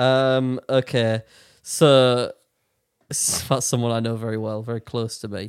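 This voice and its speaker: At a fairly slow pace, a voice with a British accent speaks in a monotone, flat intonation, with a dry, close sound and no echo. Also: man, medium pitch for a man. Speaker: podcast host. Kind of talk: casual chat.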